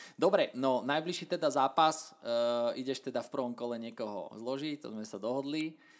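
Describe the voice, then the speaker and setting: At a moderate pace, a man talks with ordinary pitch variation. He has a plain, everyday voice. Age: 30s. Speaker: podcast host. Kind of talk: casual interview.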